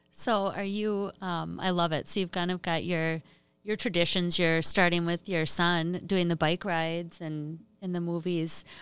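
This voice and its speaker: Speaking at a fairly slow pace with an Upper Midwest accent, a woman keeps a fairly low pitch and monotone, flat intonation on a very clean recording with a silent background. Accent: Upper Midwest (Minnesota). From northern Minnesota. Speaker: economic development professional. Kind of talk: interview.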